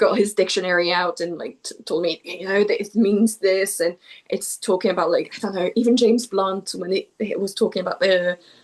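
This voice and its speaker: A woman speaks in a French accent at a medium pitch, her intonation fairly even. Her pace is fairly quick, with hardly any pauses. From southwest France. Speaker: poet. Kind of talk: interview. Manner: hesitant, repeats words.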